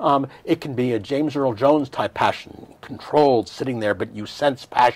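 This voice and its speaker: Speaking with an American accent and hardly any pauses, a man holds a medium pitch with ordinary pitch variation. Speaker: startup investor and author. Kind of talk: interview. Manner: loud; fast.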